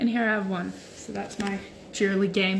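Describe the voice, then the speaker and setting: Noticeable background noise sits in the clip. A woman talks through it at a moderate pace. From Norway and Sweden. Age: 20s. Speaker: social media creator. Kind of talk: casual livestream chat. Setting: Instagram live stream. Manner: casual, hesitant with fillers.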